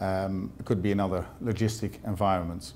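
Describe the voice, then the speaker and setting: A man's fairly low, dark, mellow voice, monotone and flat, at a moderate pace. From Netherlands. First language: Dutch. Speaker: sales representative. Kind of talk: presentation. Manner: halting, many fillers.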